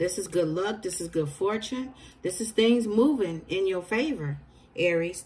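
A woman's lively intonation comes through in a voice that is somewhat breathy. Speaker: tarot reader. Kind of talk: tarot reading commentary. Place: home room. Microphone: phone near.

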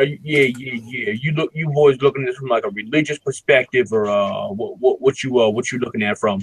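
A man with an American accent, medium pitch, ordinary pitch variation, a fairly quick pace and hardly any pauses. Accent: urban US dialect noted by others. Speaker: caller. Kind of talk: casual chat. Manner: halting, many fillers and repeats.

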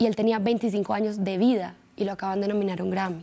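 This woman keeps a moderate pace. Her intonation stays fairly even. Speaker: actress guest. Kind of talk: interview answer. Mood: relaxed, proud, laughing. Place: studio.

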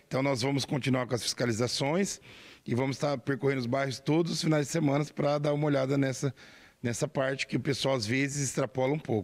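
A man with a fairly high pitch speaks at a very fast pace, with fairly even intonation and very even loudness. The recording is very clean, with a silent background. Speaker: municipal official. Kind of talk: news interview. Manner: formal.

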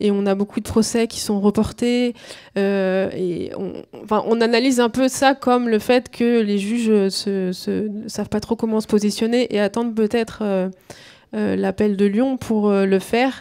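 Against a quiet background, a woman speaks at a fairly slow pace in a dark, mellow tone with monotone, flat intonation. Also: fairly high pitch for a woman. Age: 30s. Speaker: climate activist; panelist. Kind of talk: panel discussion. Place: hall. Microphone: handheld.

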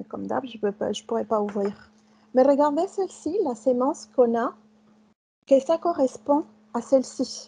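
With a Spanish accent, a woman speaks in a high pitch with a dark, mellow tone and lively intonation. Her pace is fairly slow, broken by long, frequent pauses. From Mexico. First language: Spanish (speaking French). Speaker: chef; guest lecturer. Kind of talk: lecture. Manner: halting. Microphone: video call.

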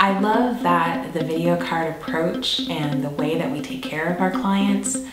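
A woman speaks at a fairly slow pace. There is audible room echo and loud background noise. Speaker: video production business owner. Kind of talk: promotional pitch to camera. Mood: warm, upbeat. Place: studio.

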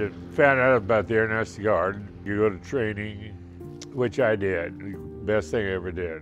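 Clear music plays behind a man with a Midwestern accent who speaks at a fairly low pitch. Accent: American Midwest. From Wichita, Kansas. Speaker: retired airline pilot. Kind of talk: interview answer. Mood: warm, cheerful storytelling. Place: home room. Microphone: lapel.

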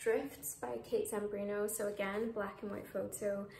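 Audible room echo and light background noise surround the recording. A woman speaks at a fairly slow pace. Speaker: book vlogger. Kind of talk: casual vlog chat. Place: home room. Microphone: phone near.

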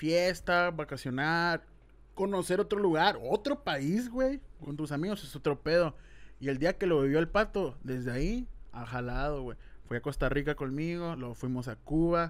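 A man with a fairly high voice speaks at a moderate pace, his intonation lively. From Mexico, Hermosillo (Sonora); Sonora, Mexico. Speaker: YouTuber, podcast host. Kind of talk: casual chat. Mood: relaxed, joking. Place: studio. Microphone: studio mic.

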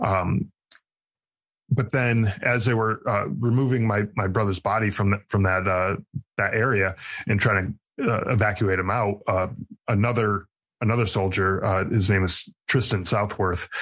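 In an American accent, a man speaks at a fairly slow pace and fairly low pitch. His intonation stays fairly even against a quiet background. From Connecticut. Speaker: army veteran, podcast host and author. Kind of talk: interview, personal testimony. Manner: halting, many fillers and repeated words.

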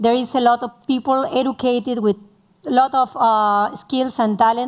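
Fairly high-pitched female speech, its pitch varying in an ordinary way. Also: quiet background. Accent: Spanish. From Argentina. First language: Spanish. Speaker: tech entrepreneur; speaker. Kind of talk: panel interview. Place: stage. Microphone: headset.

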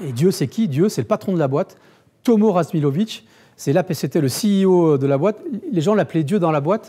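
The tone is dark and mellow, with lively intonation at a moderate pace. The background is quiet. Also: man, high pitch for a man. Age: 50s. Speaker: digital marketing agency founder giving a talk; conference speaker. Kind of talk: conference talk. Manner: halting, many repetitions and fillers. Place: meeting room.

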